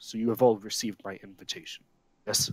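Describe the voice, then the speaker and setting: Putting on a gruff character voice, a man rattles along at a very fast pace at a medium pitch. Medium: actual play. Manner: curt, commanding.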